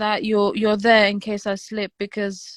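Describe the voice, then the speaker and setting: Recorded very clean with a silent background and a dry, close sound with no echo, a woman speaks at a moderate pace in a medium pitch. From Algeria. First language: Romanian. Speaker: wife of the host. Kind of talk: casual chat. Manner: halting.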